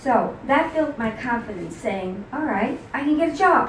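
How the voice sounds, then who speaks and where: A woman's lively intonation with an American accent at a fairly slow pace, over noticeable background noise and audible room echo. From New York City. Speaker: author. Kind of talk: talk to audience. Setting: book signing with audience.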